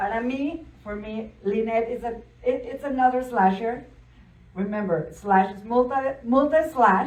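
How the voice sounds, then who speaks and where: A woman in a strong Spanish accent, fairly high-pitched with ordinary pitch variation and big swings in loudness, amid audible room echo. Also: fairly slow pace. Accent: thick Spanish. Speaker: event host. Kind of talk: panel Q&A moderation.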